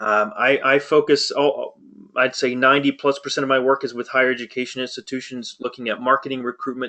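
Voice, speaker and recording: The man's tone is bright and sharp, at a medium pitch. His pace is fairly quick. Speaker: marketing consultant, webinar presenter. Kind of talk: webinar presentation. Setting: online webinar. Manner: fast.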